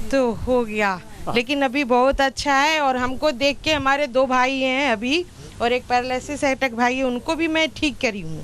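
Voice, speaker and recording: With ordinary pitch variation, this woman's voice sits high. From Bihar, Patna. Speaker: yoga volunteer sharing health testimony. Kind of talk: testimony.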